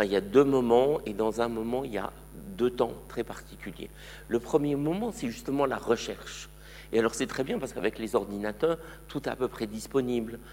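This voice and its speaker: This man has a normal speaking voice, speaking at a medium pitch and moderate pace with ordinary pitch variation. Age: 60s. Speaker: museum curator. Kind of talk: lecture.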